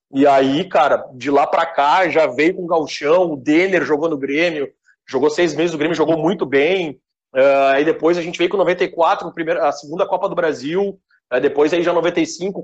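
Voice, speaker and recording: Here a man talks with a high pitch and ordinary pitch variation. His pace is moderate. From Rio Grande do Sul, Brazil. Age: 30s. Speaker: web radio founder. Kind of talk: casual chat.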